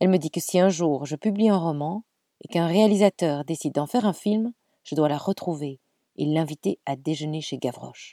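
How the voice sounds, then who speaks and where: A woman with a very deep, low pitch and a dark, mellow tone speaks at a moderate pace in a dry, close recording with no echo. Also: ordinary pitch variation. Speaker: podcast storyteller. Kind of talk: storytelling narration.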